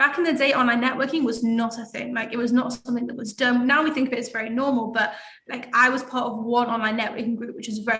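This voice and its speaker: With an English accent, a woman talks at a very fast pace with hardly any pauses, her high pitch held in fairly even intonation. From England. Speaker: networking group founder. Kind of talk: interview.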